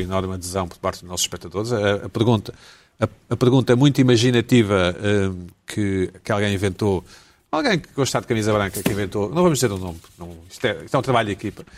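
The delivery moves at a fairly quick pace. Pitch varies in an ordinary way. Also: man. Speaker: talk show host. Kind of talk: comedy panel chat. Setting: video call. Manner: animated.

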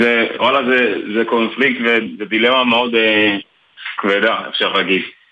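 Here a man has an unremarkable speaking voice at medium pitch, keeping a moderate pace, very even loudness and fairly even intonation. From Dimona, Israel. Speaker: soldier. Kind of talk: interview. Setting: phone call.

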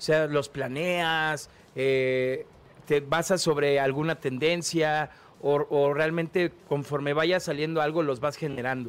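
The speech comes very slowly, in a Mexican accent. Its loudness stays very even. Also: man, fairly high pitch for a man. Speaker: radio host. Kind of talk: casual chat. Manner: animated.

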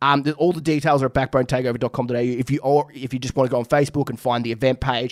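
A man with an Australian accent and a fairly high voice talks at a very fast pace in a very clean recording with a silent background. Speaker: podcast host. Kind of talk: casual chat.

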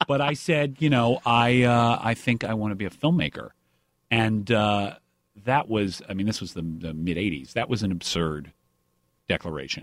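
A man with an American accent speaks in an ordinary speaking voice, fairly low in pitch, with lively intonation at a moderate pace on a very clean recording with a silent background. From US South, Atlanta suburbs. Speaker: TV writer, producer and director. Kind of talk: casual interview.

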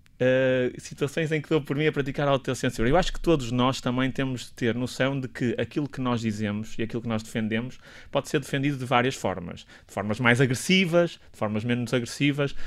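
Over a very clean recording with a silent background, a man talks fairly quickly in an ordinary speaking voice, at medium pitch with ordinary pitch variation. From northern Portugal. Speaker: doctor and health policy professor. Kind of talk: radio interview. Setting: radio studio.

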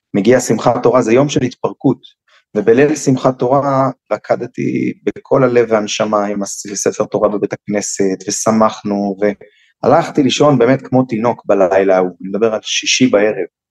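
Recorded dry and close with no echo, a man in an ordinary speaking voice talks at a moderate pace with ordinary pitch variation. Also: medium pitch for a man. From Jerusalem, Israel. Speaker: security expert and educator. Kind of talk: interview. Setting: video call.

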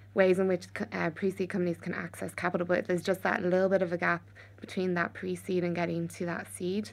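With an Irish accent, a woman speaks at a very fast pace. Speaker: venture capital investor. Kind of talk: casual panel discussion.

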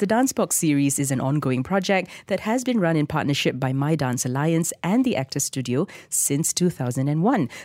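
A woman with a low voice and a slightly mellow tone speaks with few pauses in a very clean recording with a silent background. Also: lively intonation, moderate pace.

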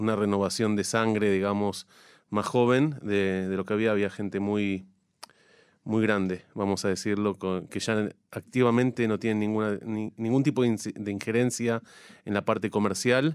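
This man's voice sits fairly low and stays monotone and flat. He keeps a moderate pace on a very clean recording with a silent background. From Argentina, La Plata. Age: 40s. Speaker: chamber of commerce president. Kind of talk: radio interview.

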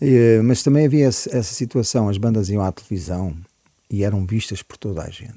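This man has a fairly low pitch and a dark, mellow tone. His loudness swings widely, while his pitch varies in an ordinary way. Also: moderate pace. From Portugal (Cascais area, childhood partly in Africa). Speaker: musician. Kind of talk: interview chat.

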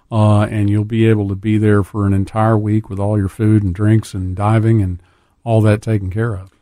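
In a South Louisiana accent, a man with a fairly low pitch speaks at a moderate pace in a flat monotone on a very clean recording with a silent background. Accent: South Louisiana Southern US. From US South, South Louisiana. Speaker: dive shop owner. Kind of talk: casual chat. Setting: studio.

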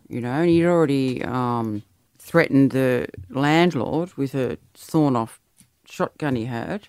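A woman with an Australian accent speaks at a fairly slow pace. Her very deep, low voice has ordinary pitch variation. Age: 50s. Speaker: host's mother. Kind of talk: casual chat.

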